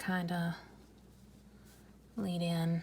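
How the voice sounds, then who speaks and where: A woman mumbles quietly in a somewhat breathy voice at a medium pitch. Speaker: art YouTuber. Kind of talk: casual drawing commentary. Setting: home at night, filming alone. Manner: mumbling.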